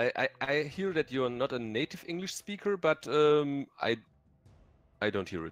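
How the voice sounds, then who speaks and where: This man's pitch is fairly high and swings very widely, with a German accent, a moderate pace and long, frequent pauses. Music plays in the background of a dry, close recording with no echo. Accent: faint German. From Germany. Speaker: gaming content creator. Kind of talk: live game stream chat.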